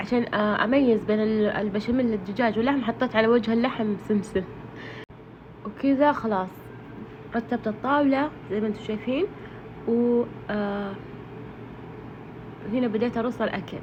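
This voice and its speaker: Noticeable background noise sits behind a woman's voice. She speaks at a fairly high pitch with fairly even intonation. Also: moderate pace. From Saudi Arabia, Ha'il. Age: 30s. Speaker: cooking vlogger. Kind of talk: casual vlog narration. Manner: halting, many fillers.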